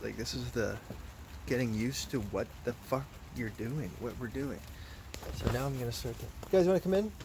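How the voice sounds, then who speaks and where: A man mumbles at a moderate pace with lively intonation. Noticeable background noise is present. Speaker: vlogger. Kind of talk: casual monologue. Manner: mumbling; halting.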